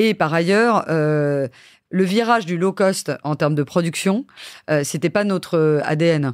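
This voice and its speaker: At a very slow pace, a woman speaks with a fairly low pitch and ordinary pitch variation in a very clean recording with a silent background. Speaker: TV production executive. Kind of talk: interview. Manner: hesitant fillers.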